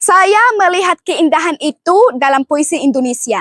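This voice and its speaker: With an Arabic accent, a woman speaks at an extremely high pitch with lively intonation. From Egypt. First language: Arabic (speaking Indonesian). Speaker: student contestant in poetry recital competition. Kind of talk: self-introduction.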